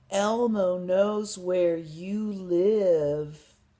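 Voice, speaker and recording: This is a put-on character voice that sounds female. It is shrill and sits at a medium pitch for a woman. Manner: screaming.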